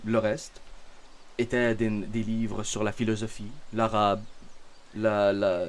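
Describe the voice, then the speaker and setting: A medium-pitched man with a Canadian French accent, at a very slow pace. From Canada. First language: Arabic (speaking French). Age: 20s. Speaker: religious content creator. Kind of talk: self-introduction monologue. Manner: halting, many fillers.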